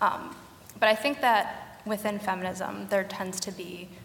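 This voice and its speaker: A woman speaks at medium pitch with monotone, flat intonation. Noticeable noise sits in the background. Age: young. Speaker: feminist blogger. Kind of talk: panel discussion.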